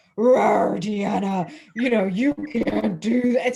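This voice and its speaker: This put-on character voice growls at a fairly high pitch. It moves at a very slow pace. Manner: mean, growling.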